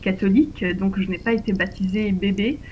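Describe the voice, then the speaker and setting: Somewhat breathy, a woman speaks at a very slow pace and medium pitch with fairly even intonation. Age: 30s. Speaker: interviewee on faith and politics. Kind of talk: interview.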